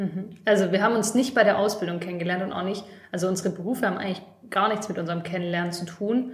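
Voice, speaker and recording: At a very fast pace, a woman speaks with medium pitch amid noticeable background noise and audible room echo. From Stuttgart, Germany. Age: 20s. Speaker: craft business office worker and podcast co-host. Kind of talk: casual chat.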